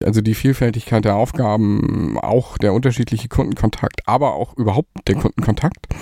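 A man talks at a fairly quick pace with hardly any pauses and very even loudness. His is an ordinary speaking voice at medium pitch, recorded dry and close with no echo. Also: ordinary pitch variation. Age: 40s. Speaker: agency managing director. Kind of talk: interview.

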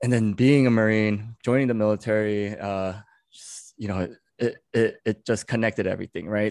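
In a quiet setting, a man with an unremarkable speaking voice talks at a moderate pace, his fairly low pitch held in fairly even intonation. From New York City. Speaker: Marine combat veteran and social media storyteller. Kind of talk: casual interview chat.

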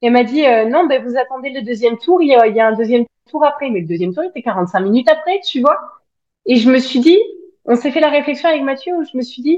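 The woman's voice is high-pitched. Her intonation moves in a lively way. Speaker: spiritual coach and social media creator. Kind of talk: casual interview. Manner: outspoken.

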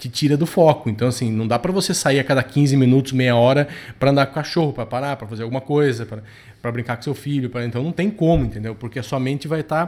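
A man speaks at a very fast pace. His voice sits at a medium pitch with ordinary pitch variation. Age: 40s. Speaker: productivity podcast host. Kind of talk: casual chat.

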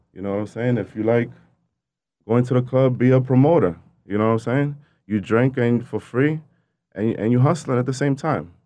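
Over a quiet background, a man with a dark, mellow tone and medium pitch speaks at a fairly quick pace with ordinary pitch variation and long, frequent pauses. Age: young. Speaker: entrepreneur. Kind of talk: casual chat.

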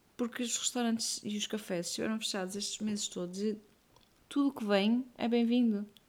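Somewhat breathy and fairly high, a woman's voice moves at a fairly quick pace with fairly even intonation. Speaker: podcast co-host and mother. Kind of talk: casual chat.

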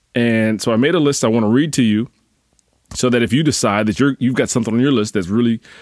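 A man with an American accent speaks in a normal speaking voice at a medium pitch with fairly even intonation, in a dry, close sound with no echo on a very clean recording with a silent background. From US Northeast. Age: 40s. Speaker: fitness coach. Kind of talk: casual solo podcast monologue.

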